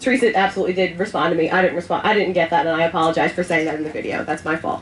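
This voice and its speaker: At a very fast pace, a woman speaks with a medium pitch and fairly even intonation. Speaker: panel speaker at libertarian festival. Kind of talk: panel discussion. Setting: event with audience, passed microphone. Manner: halting, many ums.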